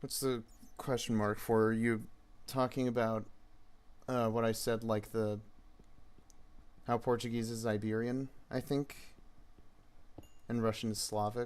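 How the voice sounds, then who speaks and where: With an American accent, a man speaks at a fairly slow pace in a monotone, flat delivery. He leaves long, frequent pauses. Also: medium pitch for a man. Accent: American, rhotic. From United States. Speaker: gaming streamer. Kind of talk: casual live stream chat. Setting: live stream with chat. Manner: halting, many fillers.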